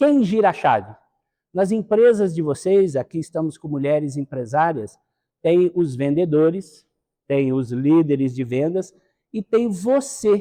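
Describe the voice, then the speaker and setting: A man's dark, mellow tone with very wide pitch swings at a fairly slow pace. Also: fairly high pitch for a man. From Minas Gerais and Rio de Janeiro state, Brazil. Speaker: sales consultant and speaker. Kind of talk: lecture.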